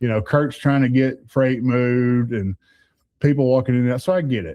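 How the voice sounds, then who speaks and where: A man with a Southern US accent, medium pitch and moderate pace. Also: ordinary pitch variation. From US South. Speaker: truck driver. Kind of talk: casual chat. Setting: studio. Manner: halting.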